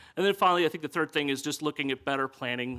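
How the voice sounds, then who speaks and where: A man with an American accent and a bright, sharp tone, ordinary pitch variation, a dry, close sound with no echo, and a very clean recording with a silent background. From US South, East Tennessee. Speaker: city council candidate. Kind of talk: candidate forum speech. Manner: halting, many fillers.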